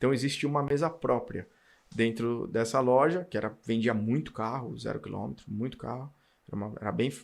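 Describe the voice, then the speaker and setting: A man's medium-pitched, plain, everyday voice. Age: 40s. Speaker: car dealership owner and auto industry executive. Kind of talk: casual interview chat.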